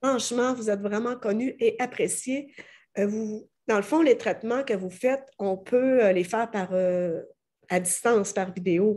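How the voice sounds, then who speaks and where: A woman's fairly high voice with a dark, mellow tone and ordinary pitch variation, at a fairly slow pace over a quiet background. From Quebec. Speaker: interviewer. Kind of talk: interview.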